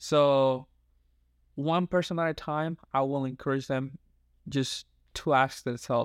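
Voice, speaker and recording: A man with a Dominican accent at a fairly high pitch, fairly slow pace and fairly even intonation, with long, frequent pauses, a dry, close sound with no echo, and a very clean recording over a silent background. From Dominican Republic (San Pedro de Macorís). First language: Spanish. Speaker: youth pastor and counseling student. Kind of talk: interview conversation.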